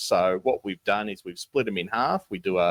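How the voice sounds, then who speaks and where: A man with a Tasmanian accent is heard in a very clean recording, the background silent and the sound dry and close with no echo. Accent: Tasmanian twang. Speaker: basketball podcast co-host. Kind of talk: casual podcast chat. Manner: hesitant, many fillers.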